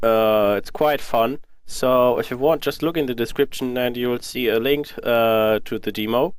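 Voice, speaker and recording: At a moderate pace, a man of medium pitch speaks with a German accent and fairly even intonation. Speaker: gaming youtuber. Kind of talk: casual let's play commentary. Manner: hesitant, many filler uhs.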